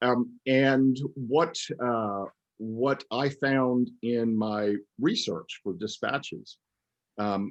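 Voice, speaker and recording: This man talks at a medium pitch with ordinary pitch variation. The background is quiet. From US South. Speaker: author. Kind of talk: interview.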